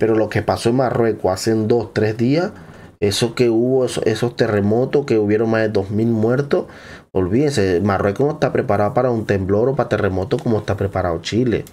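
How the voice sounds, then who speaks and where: A dark, mellow tone at very even loudness moves at a fairly quick pace with ordinary pitch variation. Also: man. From Venezuela. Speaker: YouTuber. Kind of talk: reaction video commentary. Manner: animated. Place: home room. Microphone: studio mic.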